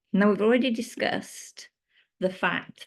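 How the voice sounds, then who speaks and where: A woman with a British accent speaks at a fairly slow pace. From UK. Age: 50s. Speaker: menopause coach. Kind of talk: presentation. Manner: occasionally halting.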